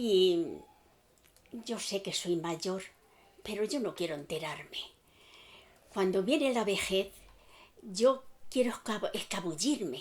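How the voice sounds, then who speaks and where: A woman's medium-pitched voice with lively intonation, a very slow pace and long, frequent pauses. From Spain, Aranjuez. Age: 90s. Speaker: elderly witness. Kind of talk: testimony.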